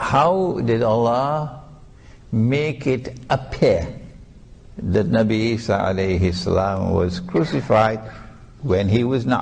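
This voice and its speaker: A man's medium-pitched voice with lively intonation at a very slow pace, long, frequent pauses and audible room echo. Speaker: Islamic scholar and preacher. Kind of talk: religious lecture.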